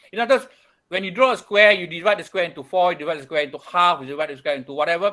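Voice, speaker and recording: A man talks at a very fast pace in a high voice with a bright, sharp tone. His intonation is lively, and his loudness swings widely. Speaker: architecture studio tutor. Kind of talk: lecture. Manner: repetitive, stammering restarts.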